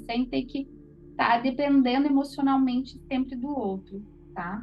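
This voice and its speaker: Music plays in the background as a woman with a high pitch speaks at a moderate pace. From Paraná, southern Brazil. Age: 30s. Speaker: holistic therapist. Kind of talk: online class.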